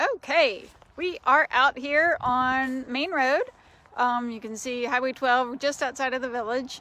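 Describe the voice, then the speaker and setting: A raised, projected voice from a woman with an American accent, high in pitch with ordinary variation, bright and sharp in tone, at a fairly slow pace. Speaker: shop owner, tour guide. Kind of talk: casual walking tour. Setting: outdoors.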